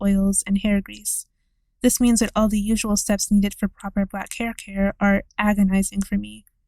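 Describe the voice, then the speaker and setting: In a very clean recording with a silent background, a woman with a medium pitch and a dark, mellow tone sounds somewhat breathy, speaking at a moderate pace with monotone, flat intonation. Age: 20s. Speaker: video essayist. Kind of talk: scripted narration.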